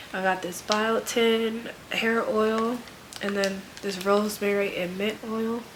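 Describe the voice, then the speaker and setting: At a fairly high pitch, a woman speaks very slowly in a monotone, flat way. Audible room echo and noticeable background noise accompany her. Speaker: lifestyle vlogger and nurse. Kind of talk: casual vlog haul. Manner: casual, filler-heavy.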